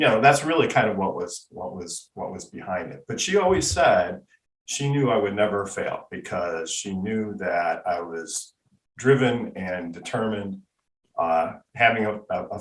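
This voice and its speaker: A man's ordinary speaking voice, fairly low in pitch, with ordinary pitch variation and a fairly slow pace. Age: 60s. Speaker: patent attorney. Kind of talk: interview.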